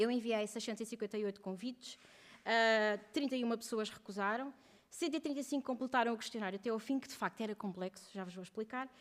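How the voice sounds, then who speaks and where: On a very clean recording with a silent background, a woman with a fairly high pitch speaks at a very fast pace. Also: ordinary pitch variation. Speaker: researcher presenting doctoral thesis. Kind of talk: conference panel presentation. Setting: round table with audience.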